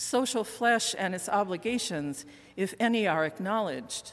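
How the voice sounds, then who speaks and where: Speaking at a moderate pace with lively intonation, a woman has a plain, everyday voice. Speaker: minister. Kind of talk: sermon. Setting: church.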